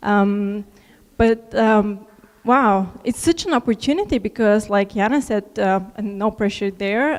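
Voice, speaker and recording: A woman speaks at a fairly high pitch, her voice shaky. Her intonation stays fairly even. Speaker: alumni keynote speaker. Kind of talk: keynote speech. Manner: shaky, nervous.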